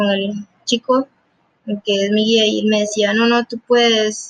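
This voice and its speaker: The woman speaks at a medium pitch with monotone, flat intonation. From Costa Rica. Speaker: junior programmer. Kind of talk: interview.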